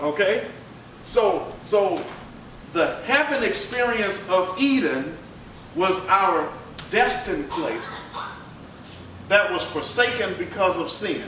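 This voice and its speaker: With a raised, projected voice and lively intonation, the speaker goes at a very slow pace with long, frequent pauses, amid audible room echo and noticeable background noise. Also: man, high pitch for a man. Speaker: pastor. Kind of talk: bible study teaching. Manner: conversational, interactive.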